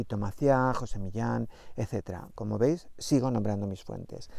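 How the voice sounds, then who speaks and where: A man speaks at a fairly slow pace, and the sound is dry with no echo. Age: 50s. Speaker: astrology coach. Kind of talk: spiritual astrology talk to camera. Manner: animated, chatty. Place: open country. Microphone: lapel.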